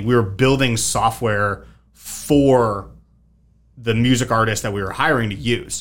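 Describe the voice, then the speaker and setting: Here a man speaks in a normal speaking voice at a medium pitch. His pace is moderate and his intonation fairly even. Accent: American. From Connecticut. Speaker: entrepreneur. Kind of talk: casual chat.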